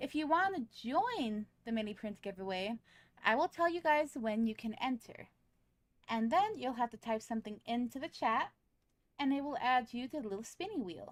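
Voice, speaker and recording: A woman speaks in a high voice at a moderate pace. Her intonation is lively. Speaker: vtuber streamer. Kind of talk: casual live stream chat. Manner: animated.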